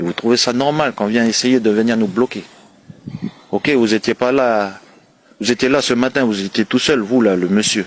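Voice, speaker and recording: Noticeable background noise under a man's medium-pitched speech. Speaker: community activist livestreamer. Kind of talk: livestream address.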